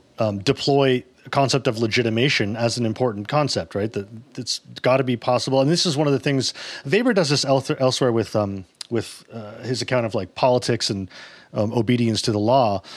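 A man speaks in a plain, everyday voice at medium pitch. His pace is fairly quick, with ordinary pitch variation. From Canada, Toronto. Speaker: podcast co-host. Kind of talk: casual discussion.

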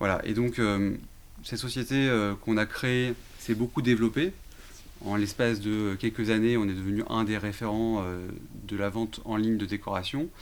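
This man's voice sits fairly low. He talks at a fairly slow pace. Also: fairly even intonation. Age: 30s. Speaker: entrepreneur, real estate firm co-founder. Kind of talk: interview. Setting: studio. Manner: hesitant, frequent 'euh'.

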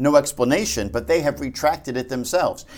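Lively in intonation and fairly quick, a man talks with vocal fry. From New Jersey. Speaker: founder of a Bible prophecy website. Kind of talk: interview on Bible prophecy.

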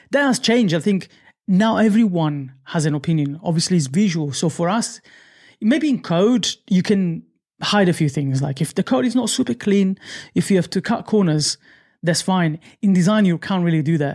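In a very clean recording with a silent background, a man with an Italian accent talks at a moderate pace, his high-pitched voice carrying lively intonation. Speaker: UI/UX designer. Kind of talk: casual interview.

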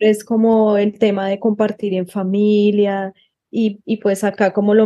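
A woman speaks at a very slow pace with a dark, mellow tone and monotone, flat intonation. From Colombia. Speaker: asylum seeker. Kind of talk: interview.

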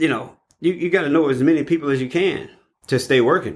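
Speaking with an American accent, a man moves at a fairly quick pace with ordinary pitch variation. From East St. Louis, Illinois (St. Louis area). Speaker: construction business owner, union carpenter. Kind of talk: interview. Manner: halting, with many fillers.

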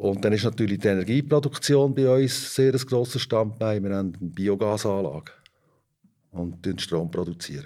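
A man's fairly low voice, dark and mellow in tone, with lively intonation at a moderate pace on a very clean recording with a silent background. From Switzerland, Fricktal (Aargau). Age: 50s. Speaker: organic dairy farmer. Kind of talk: interview. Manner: hesitant with filler sounds.

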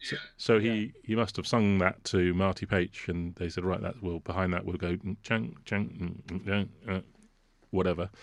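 Against a quiet background, a man with an English accent speaks fairly slowly in a very deep, low pitch with fairly even intonation. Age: 50s. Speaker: composer and orchestrator. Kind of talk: casual chat. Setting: video call.

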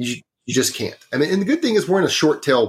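This very clean recording, with a silent background, carries a voice with a Texan accent. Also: man. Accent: Texan, noticeable. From Northeast Texas, small town. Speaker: trucking insurance specialist. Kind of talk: casual interview. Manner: easygoing, self-deprecating.

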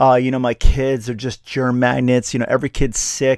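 Recorded dry and close with no echo, a man talks at a medium pitch in a monotone, flat intonation. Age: 50s. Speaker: chiropractor and podcast host. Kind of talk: solo podcast monologue. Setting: studio. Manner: casual, with frequent fillers and repetitions.

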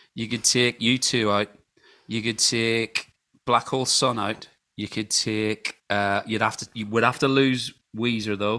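A man's medium-pitched, bright, sharp voice in a Scottish accent, monotone and flat, at a fairly slow pace. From Scotland. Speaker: podcast co-host and musician. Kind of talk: casual chat.

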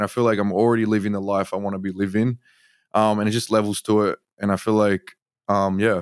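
A man with an Australian accent speaks at a fairly quick pace and a fairly low pitch. His intonation is fairly even, in a very clean recording with a silent background. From Australia, Sydney. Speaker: artist. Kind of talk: interview.

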